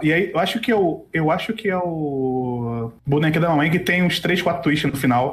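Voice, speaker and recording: A moderate pace and lively intonation come in a somewhat breathy voice. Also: man. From Brazil, Rio de Janeiro. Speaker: podcast host. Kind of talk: casual interview. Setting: live stream.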